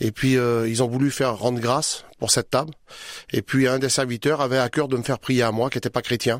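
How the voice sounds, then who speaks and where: A man of medium pitch talks in a monotone, flat intonation with very even loudness. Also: dry, close sound with no echo. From France, traveller community. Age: 40s. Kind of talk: testimony. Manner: halting.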